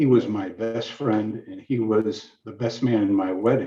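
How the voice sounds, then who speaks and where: A man speaks in a fairly low, somewhat breathy voice. His pace is fairly slow. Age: 60s. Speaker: ophthalmologist, family caregiver. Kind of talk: testimony.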